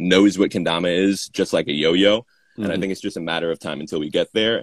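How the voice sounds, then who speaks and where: With a New York accent, a man talks very fast at a very deep, low pitch, his intonation fairly even and the sound dry and close with no echo. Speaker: kendama player and distributor. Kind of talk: casual chat. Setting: video call.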